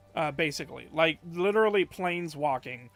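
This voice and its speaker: Music plays behind a man speaking at a moderate pace. His pitch is fairly high, with ordinary variation. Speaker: streamer. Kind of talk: casual chat. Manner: loud; halting.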